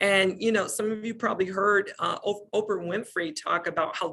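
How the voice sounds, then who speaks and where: A woman with an American accent, an unremarkable speaking voice and ordinary pitch variation. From Detroit, Michigan, US. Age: 50s. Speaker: speaker on psychology and sales. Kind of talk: presentation.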